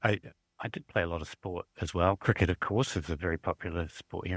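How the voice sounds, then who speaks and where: Talking at a very fast pace with a New Zealand accent, a man is heard in a dry, close recording with no echo, very clean and with a silent background. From southern New Zealand. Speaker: university librarian. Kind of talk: casual interview.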